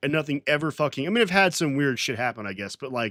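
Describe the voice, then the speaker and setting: A man with an American accent, lively intonation and a bright, sharp tone, in a dry, close sound with no echo. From Florida. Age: 20s. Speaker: livestreamer. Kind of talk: casual livestream chat. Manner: halting, many restarts.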